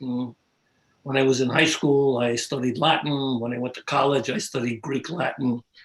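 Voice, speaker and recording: This man has a New York accent. His voice is medium in pitch with fairly even intonation. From New York City. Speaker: art historian. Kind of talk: interview. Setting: live video stream. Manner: halting.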